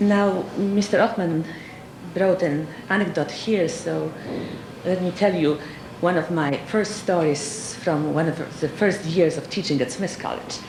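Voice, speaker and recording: With a Polish accent and a fairly low pitch, a woman speaks at a fairly slow pace with ordinary pitch variation, amid noticeable background noise and audible room echo. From Poland. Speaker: nuclear physicist and professor. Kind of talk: award acceptance speech. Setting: awards dinner with audience. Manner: formal.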